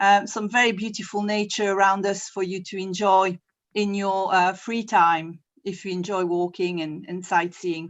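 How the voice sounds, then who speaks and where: With a French accent, a woman speaks at a medium pitch in a monotone, flat intonation. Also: moderate pace. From France. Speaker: university representative. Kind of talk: presentation. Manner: hesitant, with fillers.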